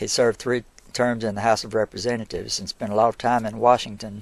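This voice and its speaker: Recorded dry and close with no echo against a quiet background, a man with an Alabama accent talks fairly quickly at a medium pitch in a monotone, flat delivery. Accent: Southern US (Alabama). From US South. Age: 70s. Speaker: local historian and museum owner. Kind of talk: casual interview. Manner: halting.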